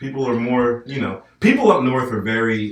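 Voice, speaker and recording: A man with an American accent speaks at a fairly slow pace. His medium-pitched voice keeps a fairly even intonation. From northern US. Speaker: podcast host. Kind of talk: casual chat.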